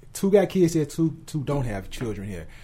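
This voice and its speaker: Very wide pitch swings mark this man's somewhat breathy voice with its dark, mellow tone. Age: 30s. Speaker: podcast host. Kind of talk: casual chat. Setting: studio.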